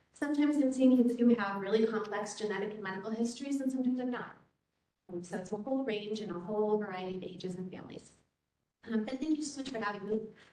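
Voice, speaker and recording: A very fast-talking woman with fairly high pitch, ordinary pitch variation, big swings in loudness, and audible room echo. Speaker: clinical psychologist and researcher. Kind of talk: research presentation. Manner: many filler ums.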